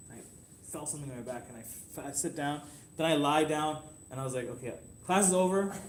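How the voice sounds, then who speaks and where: The speech comes at a very fast pace with ordinary pitch variation but long, frequent pauses. Loudness swings widely, and room echo is audible. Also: man, fairly high pitch for a man. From Canada. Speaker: homeopathy teacher. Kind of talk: classroom lesson. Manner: halting, many restarts.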